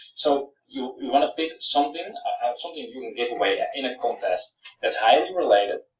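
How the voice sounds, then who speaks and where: With a Dutch accent, this speaker talks at a fairly quick pace amid audible room echo. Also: man. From Netherlands. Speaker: software founder; presenter. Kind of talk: Q&A webinar. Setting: live webinar. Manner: halting, many fillers. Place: home room. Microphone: webcam.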